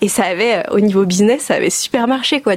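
Over noticeable background noise, a woman talks in a fairly high pitch with ordinary pitch variation. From northern France (Oise). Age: 30s. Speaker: equestrian clothing entrepreneur. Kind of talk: casual interview chat.

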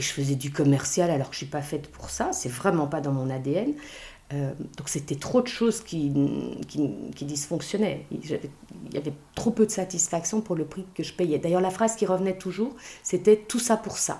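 Noticeable background noise accompanies a woman speaking at a fairly low pitch. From Belgium and Luxembourg. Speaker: author and burnout expert. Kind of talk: interview.

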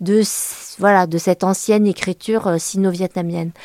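A woman's dark, mellow tone comes at a moderate pace with fairly even intonation. The sound is dry and close, with no echo. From France, Le Mans. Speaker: journalist and author. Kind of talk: interview. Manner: halting.

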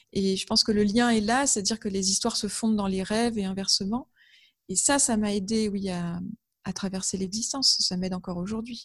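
A somewhat breathy woman's voice at medium pitch, fairly quick in pace, with fairly even intonation. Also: quiet background. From northern France, Amiens (Picardy). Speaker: author and graphic designer. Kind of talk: interview. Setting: video call. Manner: hesitant, with fillers and repetitions.

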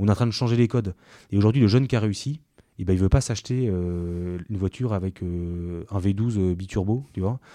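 A man talks at a fairly quick pace in a dark, mellow tone against a quiet background. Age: 30s. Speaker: banker and startup co-founder. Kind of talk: interview. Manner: halting, many repetitions and fillers.

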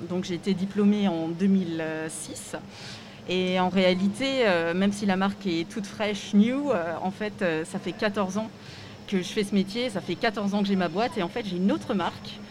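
A woman's ordinary speaking voice at a medium pitch, with ordinary pitch variation and a fairly slow pace. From Alsace, France (Strasbourg). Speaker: fashion designer and craftswoman. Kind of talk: interview. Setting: live at a trade fair stand.

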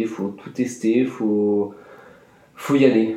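A man's fairly slow, fairly even-toned speech amid audible room echo and noticeable background noise. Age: 20s. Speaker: student. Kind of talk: testimony. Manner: halting, with many fillers and repetitions.

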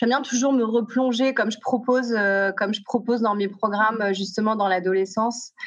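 A woman speaks at a fairly high pitch and a fairly slow pace, her intonation fairly even. Noticeable background noise sits behind her. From southern France (Aix-en-Provence), teens in Paris. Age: 40s. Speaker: youth coach, founder of a teen program. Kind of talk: podcast interview. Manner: halting, many repetitions and fillers.

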